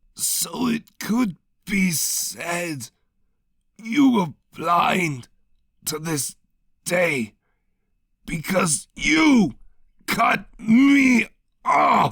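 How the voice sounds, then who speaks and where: A man puts on a character voice that is raspy and high-pitched. He talks at a very slow pace with long, frequent pauses. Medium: read story.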